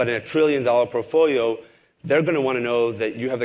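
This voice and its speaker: Speech at a very fast pace comes through in a very clean recording with a silent background. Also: man. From Israel. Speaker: investment firm CEO. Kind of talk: onstage interview. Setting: stage with audience.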